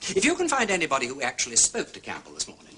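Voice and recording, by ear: Using a put-on character voice, a man races along at a very fast pace, his medium pitch making very wide swings. The tone is bright and sharp, with a slightly husky edge.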